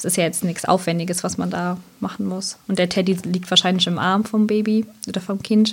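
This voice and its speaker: The speech comes at a fairly quick pace in a monotone, flat intonation. The voice is somewhat breathy. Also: woman, medium pitch for a woman. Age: 30s. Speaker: sleep consultant and social worker. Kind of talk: casual interview.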